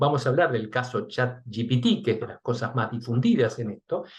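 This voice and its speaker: A man with a somewhat breathy, medium-pitched voice talks at a fairly quick pace. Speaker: research and development director giving a talk. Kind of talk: webinar presentation. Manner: fast.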